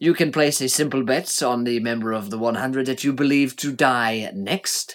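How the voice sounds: With ordinary pitch variation, the delivery is a natural reading voice.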